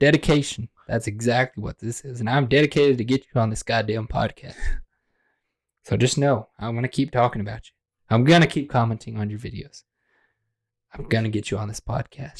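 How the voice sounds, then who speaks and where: On a very clean recording with a silent background and a dry, close sound with no echo, a man of medium pitch speaks at a fairly quick pace, somewhat breathy, with long, frequent pauses. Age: young. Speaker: podcast host. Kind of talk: casual chat. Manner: animated.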